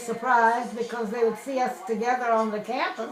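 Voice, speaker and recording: Fairly slow speech from a woman pitched fairly high, set against noticeable background noise. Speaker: former University of Michigan student. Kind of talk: interview answer.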